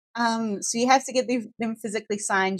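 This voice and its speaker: With a New Zealand accent, a woman speaks with ordinary pitch variation in a dry, close sound with no echo. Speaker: law firm staff member. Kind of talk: casual podcast chat.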